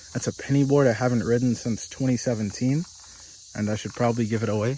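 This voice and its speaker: Intonation stays fairly even. There is noticeable background noise. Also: man. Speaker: car-dwelling vlogger. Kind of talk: video tour of car setup. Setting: inside a car. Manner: monotone.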